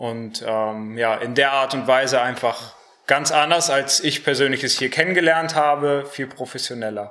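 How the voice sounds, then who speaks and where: Talking at a moderate pace, a man with a medium pitch shows ordinary pitch variation. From Germany (Harsewinkel, Gütersloh district). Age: 20s. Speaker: Bible school student. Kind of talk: radio interview. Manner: hesitant, many fillers.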